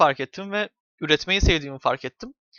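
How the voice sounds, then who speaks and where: A man talks at a fairly quick pace. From Turkey. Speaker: YouTuber. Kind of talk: casual vlog monologue. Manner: hesitant with many fillers.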